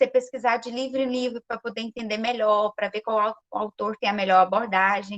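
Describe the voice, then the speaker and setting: In a dry, close sound with no echo, a woman with a fairly high pitch speaks at a moderate pace, hardly pausing, in monotone, flat intonation. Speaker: physics undergraduate student. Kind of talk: panel discussion talk.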